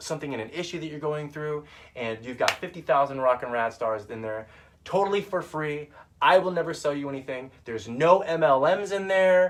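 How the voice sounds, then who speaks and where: Animated in tone, a man with a fairly high voice speaks at a fairly quick pace with lively intonation. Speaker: vlogger and online group founder. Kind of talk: casual live video monologue. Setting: in his van. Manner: fast.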